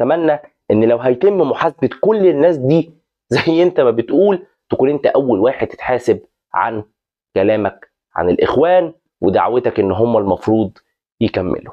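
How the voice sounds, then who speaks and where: A man with an Egyptian accent speaks at a moderate pace and medium pitch, his loudness very even while his pitch swings very widely. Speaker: football commentary YouTuber. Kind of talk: opinion vlog monologue.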